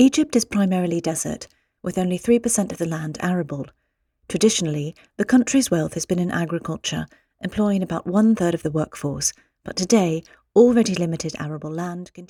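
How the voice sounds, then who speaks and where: A woman with a British accent speaks at a very fast pace and a fairly low pitch, in a dark, mellow tone. Her loudness swings widely, and the sound is dry and close with no echo. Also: ordinary pitch variation. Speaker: voice actor. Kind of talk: podcast intro and news narration.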